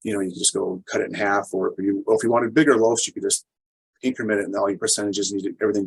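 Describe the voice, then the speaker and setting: The speaker is a man. His voice has a dry, close sound with no echo. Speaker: home bread maker teaching a class. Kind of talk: online class demonstration. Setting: video call. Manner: fast; halting, many fillers.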